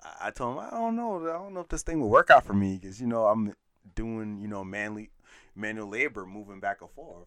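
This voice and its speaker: A man's ordinary speaking voice at a fairly quick pace, with ordinary pitch variation and big swings in loudness, on a very clean recording with a silent background. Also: fairly low pitch for a man. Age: 30s. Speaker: podcast co-host. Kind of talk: casual chat.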